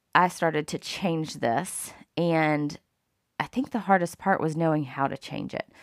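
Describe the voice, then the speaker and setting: Recorded very cleanly with a silent background and a dry, close sound with no echo, a woman with a Southern US accent and a very deep, low pitch speaks with lively intonation. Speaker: podcast host. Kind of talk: solo monologue. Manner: casual, many fillers.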